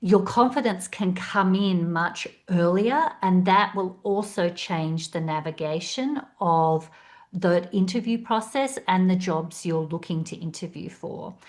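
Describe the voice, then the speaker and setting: A woman at medium pitch and a fairly slow pace, with ordinary pitch variation. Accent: Australian. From Australia. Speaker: career coach. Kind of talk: webinar presentation.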